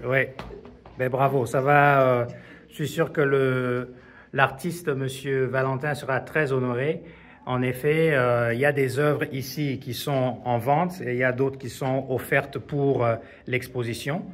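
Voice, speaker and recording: A man speaks at a very slow pace in a medium pitch. His intonation stays fairly even. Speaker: video reporter touring exhibition. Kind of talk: casual interview. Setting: art exhibition in a museum. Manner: whispering.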